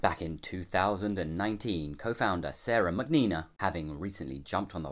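Over a quiet background, a man speaks at a moderate pace in a very deep, low pitch with vocal fry. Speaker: beer reviewer. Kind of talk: review vlog narration. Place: home room.

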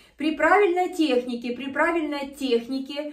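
A woman with a high pitch and ordinary pitch variation speaks against a quiet background, with audible room echo. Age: 50s. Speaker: fitness video host. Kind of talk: exercise tutorial. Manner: animated. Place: home room. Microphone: camera far.

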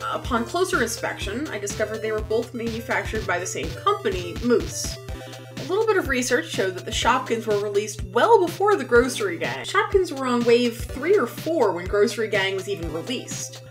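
A woman talks at a fairly quick pace while clear music plays behind her. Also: hardly any pauses. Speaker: toy vlogger. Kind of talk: scripted commentary on toy history. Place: home room.

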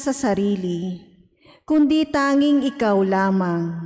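At a very slow pace, a woman gets her words out. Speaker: lector. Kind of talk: scripture reading. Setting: church. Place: church. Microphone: podium.

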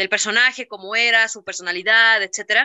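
Over a quiet background, a woman with a fairly high voice speaks at a moderate pace with fairly even intonation. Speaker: voice actor. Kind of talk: interview answer. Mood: happy, reminiscing. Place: home room. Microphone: video call.

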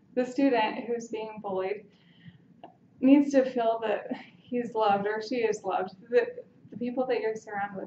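Against noticeable background noise, a woman speaks at a moderate pace with fairly even intonation. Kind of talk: impromptu persuasive speech. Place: classroom. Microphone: camera far.

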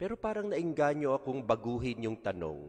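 The speaker is a man with a warm tone. He talks at a moderate pace. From Philippines. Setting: church during Mass. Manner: conversational, rhetorical questions; warm, pastoral, code-switching Tagalog and English. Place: church. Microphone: podium.

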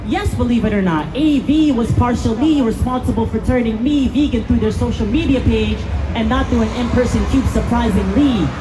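A man keeps a moderate pace as noticeable background noise carries on. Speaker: street performer, spoken word poet. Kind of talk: spoken word poetry performance with rhyme. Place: street.

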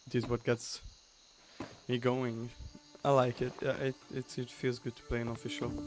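A man with a slight Hungarian accent speaks at medium pitch and a moderate pace, with monotone, flat intonation, big swings in loudness and long, frequent pauses. The sound is dry with no echo, and faint music plays in the background. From Hungary. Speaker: livestreaming gamer; streamer. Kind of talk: live gaming stream commentary. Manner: halting, repeats words. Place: home room.

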